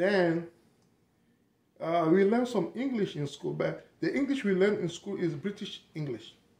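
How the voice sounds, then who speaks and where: A man speaks with a French-speaking African accent. His pitch is high and his intonation lively. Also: moderate pace. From Togo, grew up in the south. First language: French and Togolese languages. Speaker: vlogger. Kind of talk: casual monologue. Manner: halting.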